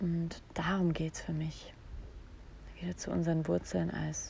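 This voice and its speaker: A woman is speaking. Her pace is fairly slow. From Saarland, Germany. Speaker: podcast host and voice coach. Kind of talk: solo podcast monologue. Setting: outdoors in a garden.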